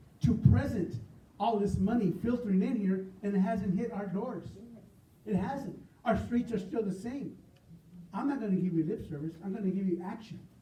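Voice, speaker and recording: A man's high-pitched voice at a moderate pace, with ordinary pitch variation, long, frequent pauses and audible room echo. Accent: American. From US West. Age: 70s. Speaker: political candidate. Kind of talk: campaign speech.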